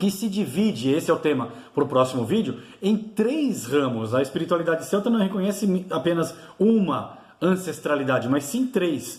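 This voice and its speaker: Over noticeable background noise and audible room echo, a man speaks at a moderate pace in a high pitch with very wide pitch swings. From Brazil, São Paulo. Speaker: YouTuber teaching Celtic spirituality. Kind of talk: informal video lecture. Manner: halting, many fillers and restarts.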